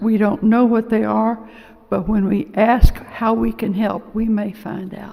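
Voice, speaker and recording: Noticeable background noise sits behind a woman with a fairly high pitch. She talks at a fairly slow pace with ordinary pitch variation. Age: 80s+. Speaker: lay church member giving homily. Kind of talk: homily. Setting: church. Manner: halting.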